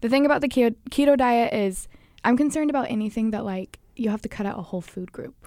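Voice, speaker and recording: A woman talks at a very fast pace with a fairly high pitch and ordinary pitch variation. Her tone is dark and mellow. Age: 20s. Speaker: podcast co-host, nutrition student. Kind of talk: casual chat.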